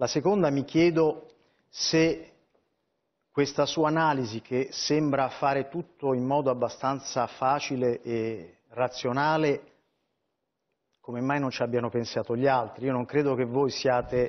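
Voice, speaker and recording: Pausing long and often, a man speaks at a fairly slow pace and medium pitch with fairly even intonation. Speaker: newspaper columnist. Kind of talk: political TV interview.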